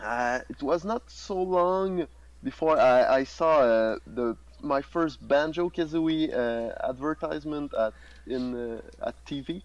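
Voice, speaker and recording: This man speaks with a Quebec accent at a fairly slow pace. His pitch varies in an ordinary way. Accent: Québécois French accent in English. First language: French. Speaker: contest winner. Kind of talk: casual chat. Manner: halting.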